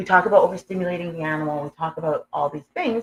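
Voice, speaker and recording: Somewhat breathy, a woman with fairly low pitch talks at a very fast pace with ordinary pitch variation. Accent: Canadian. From Canada, Edmonton, Alberta. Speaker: humane education program manager. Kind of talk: interview. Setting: live stream at a conference. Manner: halting.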